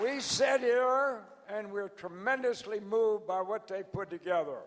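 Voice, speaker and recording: With an American accent and a high pitch, a man speaks over noticeable background noise. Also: ordinary pitch variation, moderate pace. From US South. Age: 90s. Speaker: organization founder. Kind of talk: anniversary address. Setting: stage with audience.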